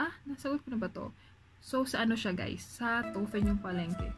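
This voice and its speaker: With music behind her, the woman's voice sits somewhat high and shifts in pitch as usual. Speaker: vlogger, overseas factory worker. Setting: dorm room at night. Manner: soft-spoken.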